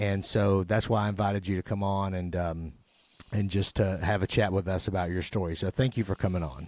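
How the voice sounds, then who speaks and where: In a Southern accent, a man talks fairly quickly at a very deep, low pitch with fairly even intonation. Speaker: podcast host and chaplain. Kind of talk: casual chat.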